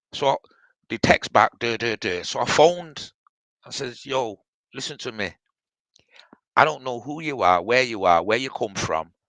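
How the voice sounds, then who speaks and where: Speaking with a British accent, a man at medium pitch uses lively intonation and a bright, sharp tone at a moderate pace with long, frequent pauses, in a dry, close sound with no echo. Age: 60s. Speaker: live stream participant. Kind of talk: casual chat.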